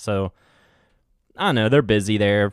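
Speaking with a West Virginia accent, a man uses a fairly low voice. His fairly slow delivery has a dry, close sound with no echo. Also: very clean recording, silent background. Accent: West Virginia twang. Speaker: podcast host. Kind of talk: casual solo podcast chat.

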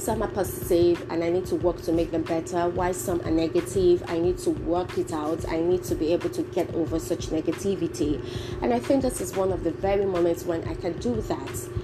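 A woman speaks fairly quickly, barely pausing, over noticeable background noise. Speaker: podcast host. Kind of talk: solo motivational talk. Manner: casual.

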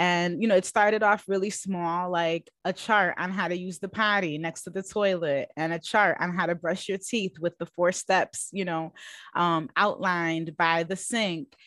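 A woman's fairly even, American-accented delivery at a moderate pace with hardly any pauses, in a dry, close, echo-free and very clean recording with a silent background. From US Northeast, Bronx, New York. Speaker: psychotherapist. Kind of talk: interview.

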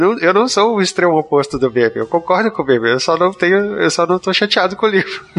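Very fast, lively speech with hardly any pauses over noticeable background noise. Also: man. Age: 30s. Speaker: book podcast panelist. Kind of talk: casual chat.

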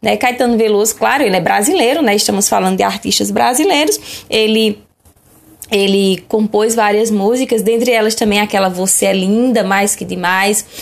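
In a normal speaking voice, a woman talks at a fairly high pitch with ordinary pitch variation and very even loudness. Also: moderate pace. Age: 30s. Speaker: schoolteacher. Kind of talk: lecture.

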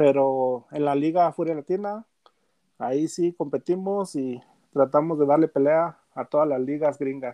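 A man speaks at a fairly slow pace in a plain, everyday voice. His pitch is fairly high, with ordinary variation. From Mexico, Gómez Palacio, Durango. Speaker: football fan and gaming page administrator. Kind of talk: casual sports chat.

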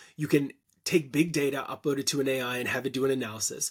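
With a Canadian accent, a man speaks very fast at a fairly high pitch in a very clean recording with a silent background. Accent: Canadian, noticeable 'about' vowels. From Canada. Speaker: content marketing expert and agency founder. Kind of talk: casual interview conversation.

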